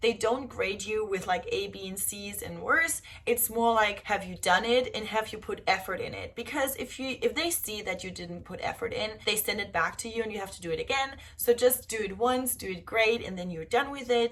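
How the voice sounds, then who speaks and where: Speaking with a German accent at a moderate pace, a woman uses a fairly high pitch with ordinary variation, big swings in loudness and hardly any pauses. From southern Germany, Bavaria (Augsburg). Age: 20s. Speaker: au pair and vlogger. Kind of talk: casual vlog talk.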